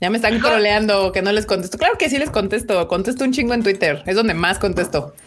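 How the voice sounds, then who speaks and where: Over noticeable background noise, a woman with a Mexican accent speaks at a very fast pace in a medium pitch, with lively intonation, very even loudness and hardly any pauses. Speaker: anime podcast host. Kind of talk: casual livestream chat. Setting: video call livestream.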